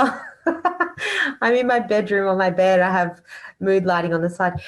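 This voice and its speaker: Using an Australian accent, a woman at a medium pitch talks fairly slowly with lively intonation and very even loudness against a quiet background. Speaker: audience member. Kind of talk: Q&A question. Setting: video call from bedroom.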